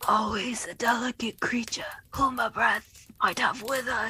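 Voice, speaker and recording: Someone uses a put-on character voice, raspy in texture and moderate in pace. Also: female-sounding voice, high pitch for a woman. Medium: read story.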